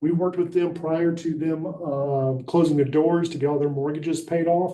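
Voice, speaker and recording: The voice has an Alabama accent and a dark, mellow tone. Its intonation is fairly even. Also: man. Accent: Southern US (Alabama). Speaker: housing nonprofit director. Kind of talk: public presentation at county meeting. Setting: county commission meeting. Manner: fast.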